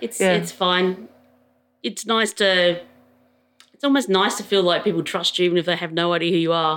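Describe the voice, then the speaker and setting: In an Australian accent, a woman speaks at a moderate pace with a fairly low pitch and ordinary pitch variation. Her pauses are long and frequent. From Adelaide, Australia. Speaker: public servant. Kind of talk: casual interview about mental health.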